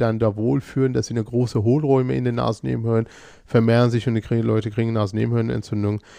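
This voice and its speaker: Over a quiet background, a man speaks at a medium pitch and a fairly quick pace. His tone is dark and mellow, with fairly even intonation. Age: 40s. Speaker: ENT physician and allergist. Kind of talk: expert interview. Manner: halting, many fillers and repetitions.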